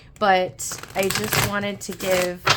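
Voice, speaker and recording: A woman with a fairly low pitch talks in fairly even intonation as noticeable noise sounds behind her. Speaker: tarot reader. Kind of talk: tarot reading monologue. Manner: halting, many fillers.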